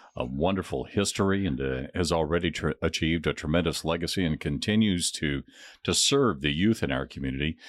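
A man speaks fairly quickly in a very deep, low pitch with vocal fry. The recording is very clean and the background silent. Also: ordinary pitch variation. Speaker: podcast host. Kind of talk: interview, podcast conversation. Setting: studio.

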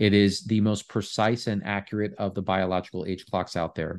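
This is a plain, everyday voice at a moderate pace. The background is quiet. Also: man. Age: 30s. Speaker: health company founder and longevity advocate. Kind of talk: interview.

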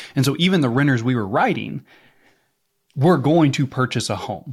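On a very clean recording with a silent background, a man with a Midwestern US accent speaks in a lively intonation. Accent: Missouri Midwestern US. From Missouri, US. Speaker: insurance coach and podcast host. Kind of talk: casual co-hosted podcast chat. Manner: casual, joking, profane.

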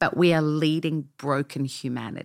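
A woman's very deep, low voice with an Australian accent, at a moderate pace on a very clean recording with a silent background. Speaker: pastor. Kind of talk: interview.

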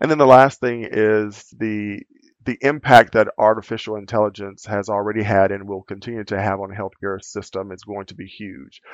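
A man with an American accent has an unremarkable speaking voice, a fairly low pitch and fairly even intonation at a moderate pace. His loudness swings widely, and the sound is dry and close with no echo. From Louisiana, US South. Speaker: healthcare executive. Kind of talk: interview.

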